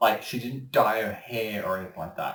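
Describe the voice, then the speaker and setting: Here a man talks at a moderate pace with fairly even intonation. He has an unremarkable speaking voice. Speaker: voice actor. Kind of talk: casual interview answer.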